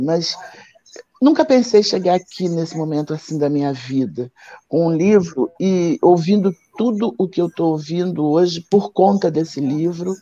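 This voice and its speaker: A woman's fairly low-pitched voice, dark and mellow in tone, at a fairly slow pace. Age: 60s. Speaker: candomblé priestess and author. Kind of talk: live stream book launch conversation. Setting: online live stream.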